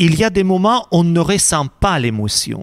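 A man with a Russian accent speaks at a fairly slow pace in a high-pitched voice that swings very widely in pitch. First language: Russian (speaking French). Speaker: priest. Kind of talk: interview.

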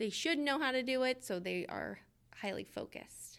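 A woman with an American accent uses an ordinary speaking voice. She speaks fairly slowly, with ordinary pitch variation. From Georgia, US South. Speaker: kindergarten teacher. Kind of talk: interview.

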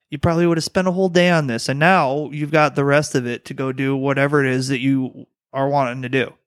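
On a very clean recording with a silent background, a man with an American accent talks at a very fast pace with hardly any pauses, fairly even intonation and a fairly high pitch. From Detroit, Michigan. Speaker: plumber. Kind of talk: casual chat.

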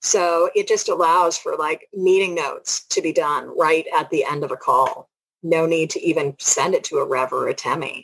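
A woman at a moderate pace with hardly any pauses. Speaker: podcast co-host, teamwork and leadership coach. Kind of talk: casual chat.

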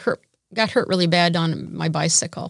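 A woman with an American accent and an unremarkable speaking voice, ordinary pitch variation and a moderate pace, in a dry, close sound with no echo. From US Midwest. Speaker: internship program director. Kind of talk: interview.

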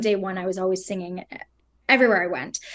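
Against a quiet background, an unremarkable speaking voice delivers fairly even intonation. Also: woman. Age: young. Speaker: opera singer. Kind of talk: interview.

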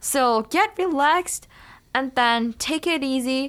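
A woman's high voice with a Chinese accent, on a very clean recording with a silent background. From China. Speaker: education student. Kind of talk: casual interview.

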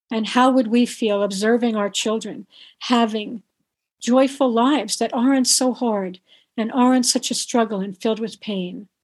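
A woman with an ordinary speaking voice talks at a moderate pace and fairly even intonation over a quiet background. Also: fairly high pitch for a woman. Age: 60s. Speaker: author and activist on birth trauma. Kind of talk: interview.

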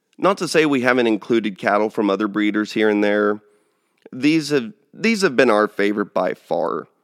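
A man with a Texan accent speaks at a moderate pace, recorded very cleanly against a silent background with a dry, close sound and no echo. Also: medium pitch for a man, ordinary pitch variation. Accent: Texan American. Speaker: cattle rancher and podcast host. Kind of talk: casual monologue.

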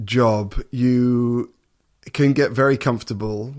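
A man with an English accent, medium in pitch, at a fairly slow pace. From eastern England, Suffolk. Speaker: orchestral double bass player and TV personality. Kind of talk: interview.

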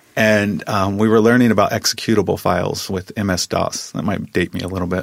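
The speaker has an American accent and talks at a fairly quick pace. The intonation stays fairly even. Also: man. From US Midwest, small town. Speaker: assistant professor. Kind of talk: interview. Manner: halting.

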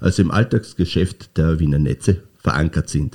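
A man's dark, mellow tone comes through somewhat breathy at a moderate pace, with ordinary pitch variation and a dry, close sound with no echo. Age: 50s. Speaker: utility company managing director. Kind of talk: interview. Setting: studio.

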